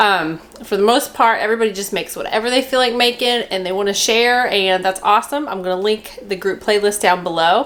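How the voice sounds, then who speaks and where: With a fairly high pitch and ordinary pitch variation, a woman speaks at a moderate pace against noticeable background noise. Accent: Kentucky. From Kentucky. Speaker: cooking vlogger. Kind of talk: casual cooking tutorial. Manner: chatty, rambling.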